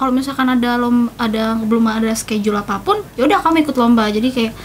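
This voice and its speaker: At a very fast pace, a woman speaks in a high-pitched voice. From Jakarta, Indonesia. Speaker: singer. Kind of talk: casual chat. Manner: animated.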